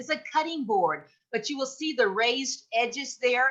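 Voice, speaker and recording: A woman speaks loudly at a moderate pace, her high-pitched voice bright and sharp, with lively intonation. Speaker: presenter for a seniors' advocacy group. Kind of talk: presentation.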